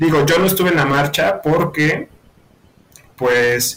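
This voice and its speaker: Noticeable background noise sits behind a man with a Mexican accent who speaks at a fairly slow pace and fairly high pitch. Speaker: university student. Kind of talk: casual chat.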